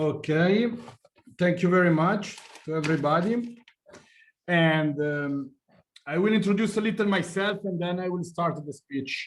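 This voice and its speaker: In a room with audible echo, a man with an Italian accent speaks at a high pitch and a fairly slow pace, with ordinary pitch variation and long, frequent pauses. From Italy. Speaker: journalist. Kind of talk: lecture. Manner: halting.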